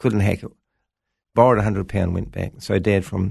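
A man's voice shows vocal fry over a quiet background. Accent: New Zealand. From New Zealand, Wellington (Lower Hutt). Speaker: pastor. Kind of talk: interview, personal testimony.

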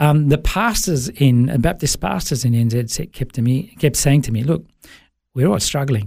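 In an Australian accent, a man speaks fairly slowly at a fairly high pitch. His tone is dark and mellow, and somewhat breathy. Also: lively intonation. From Sri Lanka, raised in Melbourne, Australia from age 8. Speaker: business coach and former worship pastor. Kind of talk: interview, personal testimony. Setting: studio.

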